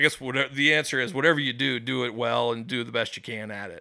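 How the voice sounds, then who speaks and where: In a Midwestern American accent, a man talks at a very fast pace at a medium pitch with fairly even intonation. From US Midwest, West Des Moines, Iowa. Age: 30s. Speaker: pizza reviewer. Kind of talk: casual chat.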